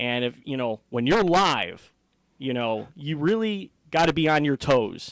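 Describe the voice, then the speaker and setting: Fairly high in pitch, a man with an American accent talks at a fairly slow pace in a plain, everyday voice with lively intonation. The recording is very clean with a silent background. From Hammond, Indiana. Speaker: boxing and MMA ring announcer. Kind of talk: interview answer.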